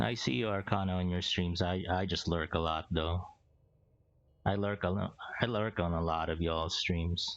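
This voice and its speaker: A man with a non-native accent and a very deep, low pitch, moderate pace, fairly even intonation and very even loudness, over music in the background. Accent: noticeable foreign. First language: not English. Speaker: game streamer. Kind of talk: live gameplay stream chat. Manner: repeats and restarts words.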